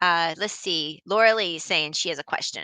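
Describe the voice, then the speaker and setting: The tone is animated, bright and sharp, with a Southern US accent. The recording is very clean with a silent background. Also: woman, dry, close sound with no echo. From Texas. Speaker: knitting channel host. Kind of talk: live stream chat reading viewer comments. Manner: chatty, animated.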